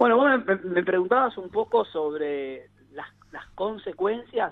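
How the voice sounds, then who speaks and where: The speaker talks at a fairly slow pace, with very wide pitch swings and big swings in loudness. Long, frequent pauses break up the speech, and background noise is noticeable. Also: man. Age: 40s. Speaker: psychologist and family therapist. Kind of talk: radio interview.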